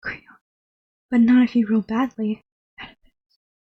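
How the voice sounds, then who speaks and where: Soft-spoken and gentle in tone, a woman talks at a fairly slow pace in a high pitch, her dark, mellow voice showing ordinary pitch variation in a dry, close sound with no echo. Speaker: ASMR YouTuber. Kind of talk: dramatic reading of a Greek tragedy, voicing all roles herself. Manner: soft-spoken, gentle.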